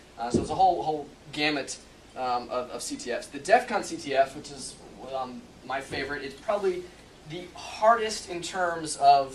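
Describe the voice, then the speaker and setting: Lively intonation amid noticeable background noise and audible room echo. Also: man, fairly high pitch for a man. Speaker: security expert and hacking contest winner. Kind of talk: presentation. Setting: stage with audience. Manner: fast; halting.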